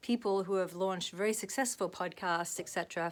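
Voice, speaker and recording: A woman with an Australian accent, medium in pitch with fairly even intonation, on a very clean recording with a silent background. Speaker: actress and vlogger. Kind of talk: casual vlog monologue. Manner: fast.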